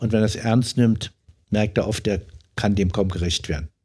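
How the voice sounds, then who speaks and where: A man talks in a somewhat breathy voice. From Frankfurt (Oder), East Germany. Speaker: member of parliament. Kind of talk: interview. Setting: home study.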